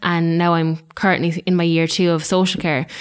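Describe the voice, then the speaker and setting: A woman speaks in a fairly low voice with an Irish accent. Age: 20s. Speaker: social care student. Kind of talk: podcast panel discussion.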